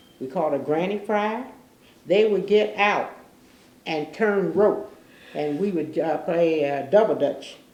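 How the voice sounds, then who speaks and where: Someone with an American accent speaks at a fairly slow pace, with ordinary pitch variation and long, frequent pauses. Audible room echo surrounds the voice. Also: woman, fairly low pitch for a woman. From Newport, Kentucky. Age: 90s. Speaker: oral history interviewee. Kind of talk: oral history interview. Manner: halting.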